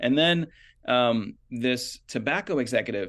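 A man's medium-pitched voice with ordinary pitch variation, an unremarkable speaking voice, over a quiet background. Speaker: health journalist. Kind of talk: interview.

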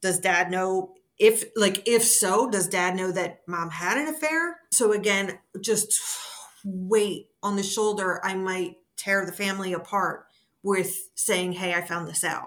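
A woman speaks at a fairly slow pace in an ordinary speaking voice, her pitch medium with ordinary pitch variation. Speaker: DNA discovery advocate. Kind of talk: interview.

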